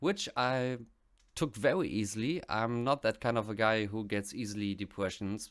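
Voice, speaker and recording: A man with a German accent, fairly low pitch, ordinary pitch variation and a moderate pace, in a very clean recording with a silent background. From West Germany. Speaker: music reaction youtuber. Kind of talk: casual vlog monologue.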